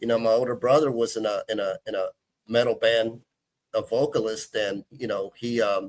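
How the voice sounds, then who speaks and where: A man speaks at a moderate pace in a Texan accent. The sound is dry and close, with no echo. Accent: Texan American English. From Texas, Houston. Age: 40s. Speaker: guitarist. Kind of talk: casual chat.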